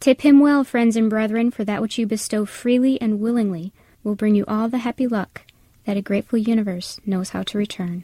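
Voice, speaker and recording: A woman with an American accent speaks at a fairly quick pace, her fairly high pitch carried by a dark, mellow tone that is somewhat breathy. Her intonation is fairly even, and the sound is dry and close with no echo. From Wisconsin, US Midwest. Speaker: college professor, essayist. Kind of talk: reading aloud a personal essay.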